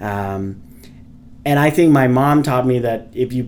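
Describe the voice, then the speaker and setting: A man's medium-pitched voice with a Vietnamese accent and ordinary pitch variation. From Vietnam, Ho Chi Minh City. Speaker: civil engineer and company founder. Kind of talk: podcast interview.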